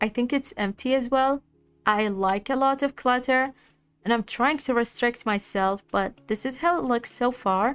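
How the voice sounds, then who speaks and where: Over music in the background, a woman with a high pitch talks at a moderate pace, keeping very even loudness and ordinary pitch variation. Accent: non-native. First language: not English. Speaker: gaming streamer. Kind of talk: live gameplay stream chat. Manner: casual, chatty.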